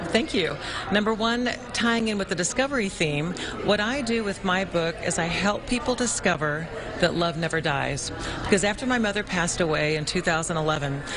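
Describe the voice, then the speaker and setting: A woman's medium-pitched, lively voice at a moderate pace, with noticeable background noise. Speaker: author. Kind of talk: live TV interview answer.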